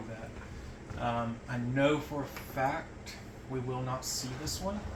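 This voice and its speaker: A man at medium pitch speaks with audible room echo around him. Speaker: tarantula keeper. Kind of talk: casual vlog narration. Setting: at home. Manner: halting.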